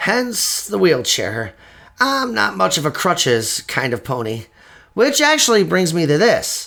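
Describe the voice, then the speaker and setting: A man puts on a raspy character voice. It sits fairly high in pitch and moves at a fairly slow pace. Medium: audio drama. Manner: earnest, friendly.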